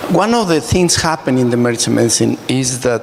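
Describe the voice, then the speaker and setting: This man's medium-pitched voice shows ordinary pitch variation, and noticeable background noise is present. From Mexico. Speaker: emergency physician. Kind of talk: panel discussion.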